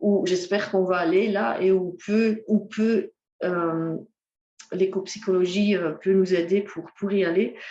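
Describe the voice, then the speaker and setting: At a very slow pace, a woman with a dark, mellow tone speaks at a medium pitch with ordinary pitch variation. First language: Dutch (speaking French). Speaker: ecotherapy speaker. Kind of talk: lecture. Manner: halting, many hesitations.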